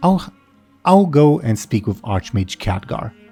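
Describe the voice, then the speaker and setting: Over faint music in the background, a man puts on a rumbling character voice at medium pitch, with very wide pitch swings and a fairly slow pace. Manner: grumbling.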